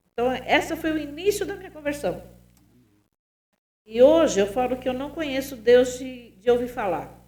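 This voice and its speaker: Marked by long, frequent pauses, this voice moves at a moderate pace with lively intonation and big swings in loudness, with audible room echo. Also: woman, high pitch for a woman. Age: 60s. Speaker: pastor. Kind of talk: testimony.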